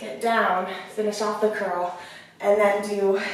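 Heard through strong room echo and light background noise, a woman speaks at a fairly slow pace. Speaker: fitness instructor. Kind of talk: workout instruction. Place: home room. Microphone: camera far.

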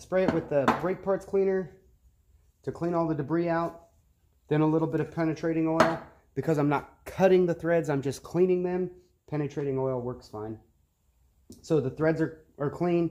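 There is noticeable background noise behind a man's voice. His intonation stays fairly even, broken by long, frequent pauses. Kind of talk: tutorial. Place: garage.

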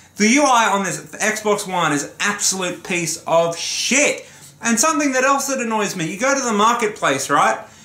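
A raised, projected voice with lively intonation carries audible room echo. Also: man, high pitch for a man. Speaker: gaming YouTuber. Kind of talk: profanity-laced solo rant to camera about a console's slow interface. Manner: exasperated, swearing explosively; heated and ranting, building frustration. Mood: annoyed, ranting, swearing. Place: home room. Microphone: camera far.

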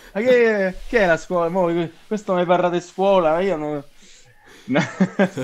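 A man's high-pitched voice at a fairly slow pace, with long, frequent pauses. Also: ordinary pitch variation. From Italy, Rome. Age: 20s. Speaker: actor. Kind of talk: casual chat. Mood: relaxed, laughing at times. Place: home room. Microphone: video call.

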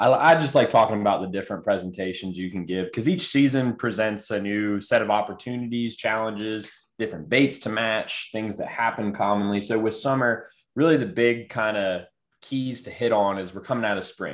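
A man's fairly low voice at a fairly quick pace, with ordinary pitch variation against a quiet background. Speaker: guest. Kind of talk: panel discussion answer. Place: home room. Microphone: video call.

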